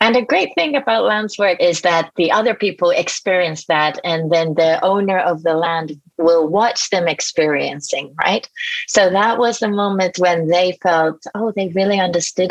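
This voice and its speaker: A woman speaks in a Japanese accent at a fairly slow pace. Her pitch is fairly low, with ordinary variation. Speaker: executive coach. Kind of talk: interview.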